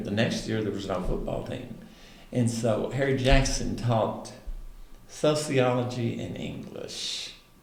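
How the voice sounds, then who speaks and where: Over noticeable background noise, a man with a Southern US accent talks at a fairly slow pace and a medium pitch. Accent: Southern US (Oklahoma). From Roland, Oklahoma. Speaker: retired speech and drama teacher. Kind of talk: interview answer.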